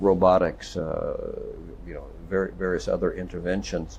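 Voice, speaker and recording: Some room echo can be heard. The male speaker keeps a moderate pace. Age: 70s. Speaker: longevity doctor. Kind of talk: casual chat. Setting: conference.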